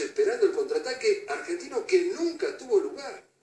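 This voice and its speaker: A man speaks at an extremely high pitch. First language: Russian (speaking Spanish). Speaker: Falklands war veteran. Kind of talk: interview.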